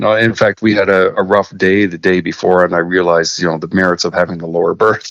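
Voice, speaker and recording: Noticeable noise sits behind this recording of a man. He has a fairly low pitch and a Canadian accent. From Saskatchewan, Canada. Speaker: master mariner. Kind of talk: interview storytelling.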